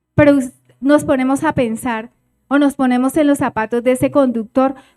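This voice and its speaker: Against music in the background, a woman talks at a fairly slow pace in a high voice with ordinary pitch variation, the sound dry and close with no echo. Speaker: preacher. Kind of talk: sermon.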